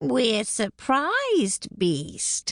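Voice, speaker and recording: A woman puts on a character voice with a fairly high pitch. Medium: read story. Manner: mocking, eerie.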